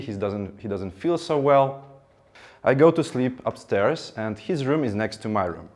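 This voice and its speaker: Fairly slow speech from a man with a Ukrainian accent and ordinary pitch variation, in a very clean recording with a silent background. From Ukraine. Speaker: public speaker.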